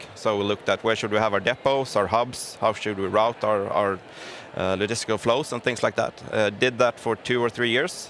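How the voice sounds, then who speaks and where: A man with a Gothenburg accent talks at a fairly quick pace and with fairly even intonation over noticeable background noise. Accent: Gothenburg Swedish. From Gothenburg, Sweden. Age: 30s. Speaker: business executive. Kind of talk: interview. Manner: halting.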